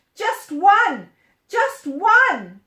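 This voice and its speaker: A woman does a put-on character voice. It is squeaky and extremely high in pitch. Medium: read story.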